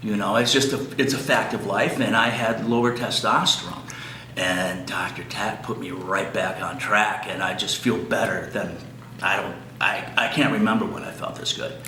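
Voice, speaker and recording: Amid noticeable background noise and audible room echo, a man talks at a moderate pace and medium pitch with ordinary pitch variation. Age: 60s. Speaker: clinic patient. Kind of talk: testimonial. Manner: halting, many fillers and repeats.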